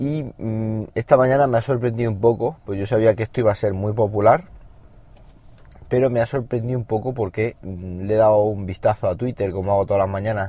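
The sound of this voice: A man talks at a fairly quick pace with fairly even intonation. His voice is fairly low in pitch, with a dark, mellow tone.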